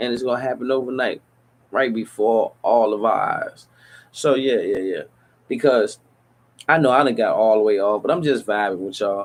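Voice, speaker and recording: The speaker talks at a moderate pace with ordinary pitch variation. Long pauses come often. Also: man, medium pitch for a man. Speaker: podcast host. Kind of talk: casual monologue. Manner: casual, profane rant.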